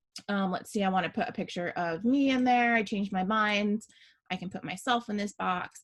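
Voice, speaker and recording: Against a quiet background, a woman speaks at a fairly quick pace in a medium pitch, somewhat breathy. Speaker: small business owner teaching design software; small business owner demonstrating design. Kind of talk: screen-share tutorial. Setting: video call with screen share. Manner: casual, many fillers. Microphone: video call.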